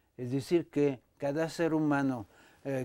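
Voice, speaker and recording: Against a quiet background, a man with a French accent speaks at a very slow pace in a fairly high pitch, his tone dark and mellow and his pitch variation ordinary. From France. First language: French (speaking Spanish). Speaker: dancer and choreographer, dance company director; guest. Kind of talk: interview conversation. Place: studio.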